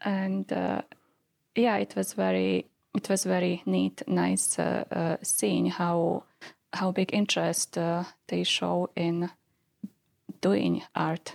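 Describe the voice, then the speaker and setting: A woman with a non-native accent speaks at a very slow pace, with long, frequent pauses and very even loudness. The sound is dry and close, with no echo. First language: not English. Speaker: PhD student and artist. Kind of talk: interview about research. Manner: hesitant, many filler words.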